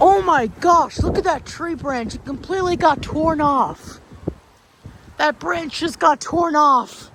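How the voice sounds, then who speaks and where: Very slow speech over noticeable background noise. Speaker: storm video creator. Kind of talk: casual vlog commentary. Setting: outdoors. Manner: loud; animated.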